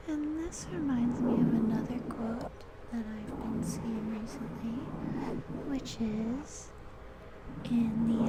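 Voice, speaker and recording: Over noticeable background noise, someone soft-spoken talks at a very slow pace. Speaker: ASMR creator. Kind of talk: ASMR rambling, reading affirmations aloud.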